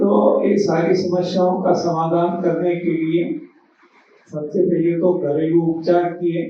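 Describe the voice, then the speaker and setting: Monotone, flat intonation and very even loudness mark this man's high-pitched voice. Audible room echo and noticeable background noise fill the recording. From Gujarat, India (Amreli district). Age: 80s+. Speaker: health speaker. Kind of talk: talk to a seminar audience.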